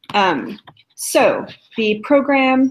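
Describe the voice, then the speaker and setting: Lively intonation in a Californian accent. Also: woman. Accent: Californian American English. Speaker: program evaluation staff presenting a software demo. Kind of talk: live tutorial demo. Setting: video call live stream. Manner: many filler words, hesitant.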